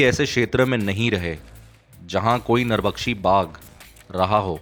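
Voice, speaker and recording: Music plays in the background. Over it, a man speaks at a fairly low pitch. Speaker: audiobook narrator. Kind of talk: audiobook story narration.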